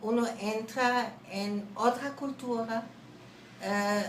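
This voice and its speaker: Speaking with a German accent, a woman uses a fairly high pitch and fairly even intonation, with audible room echo around her. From Germany. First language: German (speaking Spanish). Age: 70s. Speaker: language teacher. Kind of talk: interview. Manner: hesitant.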